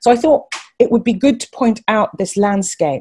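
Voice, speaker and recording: Somewhat breathy and dark, mellow in tone, a woman's voice sits at a fairly high pitch. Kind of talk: webinar talk. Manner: fast.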